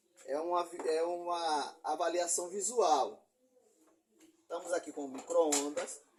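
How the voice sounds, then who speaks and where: Speaking at a fairly slow pace with long, frequent pauses, a man keeps a fairly even intonation at a high pitch. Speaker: appliance repair technician. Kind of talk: tutorial. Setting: workshop bench. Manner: trying to speak slowly.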